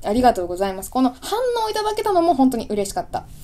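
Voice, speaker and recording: Very wide pitch swings mark this very fast speech over noticeable background noise. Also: woman. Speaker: video creator, channel host. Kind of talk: casual chat, audio-only radio episode. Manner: casual, chatty, apologetic.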